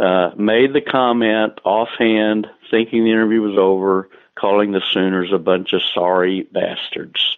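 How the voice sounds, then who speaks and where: With fairly even intonation, a man talks at a fairly slow pace in a fairly low pitch. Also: very even loudness. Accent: Texan. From Texas, Taylor. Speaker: sports columnist. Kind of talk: interview.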